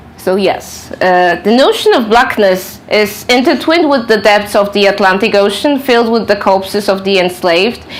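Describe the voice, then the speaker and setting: Over noticeable background noise and audible room echo, a woman with a Polish accent speaks at a medium pitch with ordinary pitch variation, very even loudness, a moderate pace and hardly any pauses. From Poland. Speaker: author and researcher. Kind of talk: lecture. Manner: halting.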